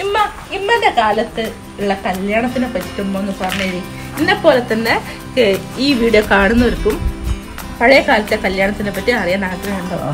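A woman's fairly high voice over clear background music. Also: ordinary pitch variation. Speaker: granddaughter host. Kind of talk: casual interviewer questions. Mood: cheerful, smiling. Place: garden. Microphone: phone near.

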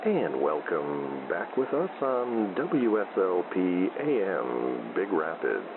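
At a very slow pace, the speaker's voice makes very wide pitch swings at a very even loudness over noticeable background noise. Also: man, very deep, low pitch for a man. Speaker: radio baseball play-by-play announcer. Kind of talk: live sports commentary, fake radio broadcast for sleep. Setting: radio broadcast.

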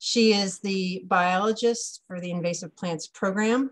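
A somewhat breathy woman speaks at a fairly slow pace with fairly even intonation against a quiet background. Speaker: webinar host. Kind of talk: webinar introduction. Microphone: video call.

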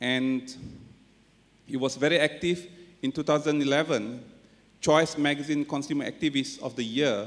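A man with a Malaysian accent at a fairly high pitch, fairly even in intonation, at a fairly slow pace with long, frequent pauses. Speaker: forum moderator, senior education official. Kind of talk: moderated panel discussion. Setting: stage with audience. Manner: hesitant, filler-heavy. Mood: formal, polite. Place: hall. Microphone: podium.

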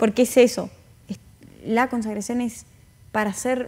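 A woman speaks at a moderate pace. Her voice is high in pitch. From northern Argentina, Tucumán. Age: young. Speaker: interview guest. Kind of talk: interview. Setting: studio. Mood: warm, gentle, earnest. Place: studio. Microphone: lapel.

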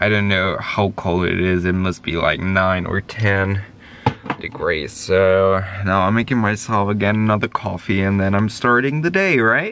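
A man with a fairly low voice speaks at very even loudness, an ordinary speaking voice. The sound is dry with no echo, with light background noise. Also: ordinary pitch variation, moderate pace. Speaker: van life vlogger. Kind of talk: casual vlog chat. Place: car. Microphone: phone near.

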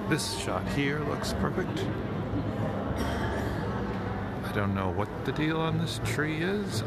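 Against loud background noise, a man talks at a very slow pace in a dry sound with no echo. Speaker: photographer vlogger. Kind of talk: casual vlog chat. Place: hall. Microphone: phone near.

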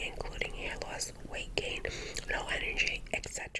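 A woman's soft-spoken whispering at a moderate pace amid loud background noise. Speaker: channel host. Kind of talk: casual livestream chat reading comments. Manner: soft close whisper while chewing gum. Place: home room.

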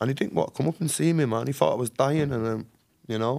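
A man speaks in a Mancunian accent. The background is quiet. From Manchester, northern England; northern England. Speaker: author and ex-prisoner; podcast guest. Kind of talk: casual interview, life story. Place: studio. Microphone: studio mic.

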